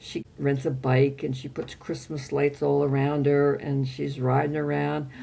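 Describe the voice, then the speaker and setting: Somewhat breathy and dark, mellow in tone, a woman speaks at a fairly slow pace with a very deep, low pitch and monotone, flat intonation. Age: 80s+. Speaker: triathlete. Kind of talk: interview answer.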